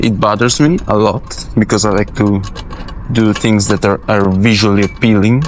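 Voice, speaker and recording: Amid noticeable background noise, a man with a fairly low pitch talks at a moderate pace, his intonation fairly even and his loudness very even. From Italy. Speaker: film grip. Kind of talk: tutorial. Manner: casual, halting.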